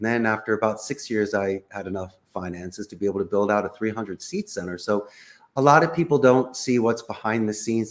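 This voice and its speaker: A man with a Philadelphia accent speaks at a moderate pace in a fairly low pitch with ordinary pitch variation, on a very clean recording with a silent background. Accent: Philadelphia American English. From US Northeast, Philadelphia. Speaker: call center CEO. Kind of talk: interview.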